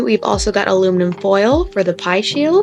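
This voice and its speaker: A woman's medium-pitched voice comes through with music playing behind her. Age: 20s. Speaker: cooking video creator. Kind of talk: baking tutorial. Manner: casual.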